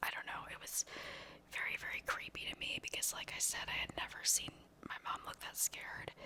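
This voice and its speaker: Whispering at a fairly quick pace, a woman speaks over noticeable background noise. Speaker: ASMR creator. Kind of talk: whispered paranormal storytelling. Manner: whispered, soft-spoken.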